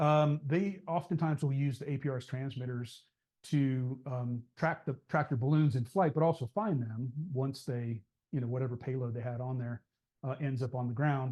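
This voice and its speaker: A man's somewhat breathy, dark, mellow voice at a medium pitch, over a quiet background. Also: ordinary pitch variation. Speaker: ham radio club presenter. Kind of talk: club meeting presentation. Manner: fast; hesitant, many fillers.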